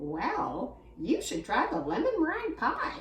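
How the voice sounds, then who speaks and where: Using a put-on character voice that sounds female, the speaker talks high-pitched at a fairly slow pace, with a slight echo. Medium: read story. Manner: calm, cheeky.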